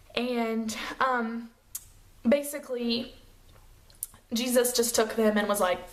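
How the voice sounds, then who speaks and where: A woman with a fairly high pitch speaks at a very slow pace with fairly even intonation and long, frequent pauses, in audible room echo with noticeable background noise. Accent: American. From US South, Chattanooga, Tennessee. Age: 20s. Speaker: beauty vlogger, makeup artist. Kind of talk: casual vlog chat. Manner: casual, lots of fillers.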